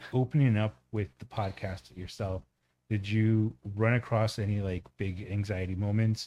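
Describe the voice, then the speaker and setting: Fairly low and dark, mellow in tone, this man speaks at a moderate pace with fairly even intonation. The recording is very clean with a silent background. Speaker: guest brother of host. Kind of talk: casual chat.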